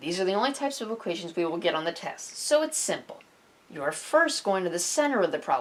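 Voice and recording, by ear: Someone reads aloud in a natural voice with lively intonation.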